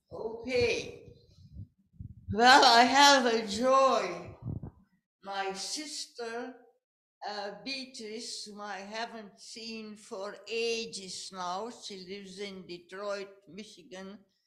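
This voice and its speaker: A woman's fairly high pitch at a very slow pace, with long, frequent pauses, ordinary pitch variation, big swings in loudness and audible room echo. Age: 80s+. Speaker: congregation member. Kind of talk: sharing in worship service. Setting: church.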